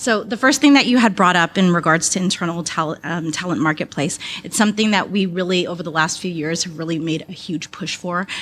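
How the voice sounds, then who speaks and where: A woman talks fairly quickly amid noticeable background noise. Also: fairly low pitch for a woman, ordinary pitch variation. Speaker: talent acquisition advisor, audience member. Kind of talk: audience Q&A comment. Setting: speaking at a microphone in conference room.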